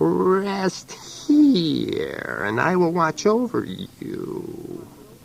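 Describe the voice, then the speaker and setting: Doing a put-on character voice, a man speaks at a very slow pace in a raspy tone with a hissing sound. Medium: read story.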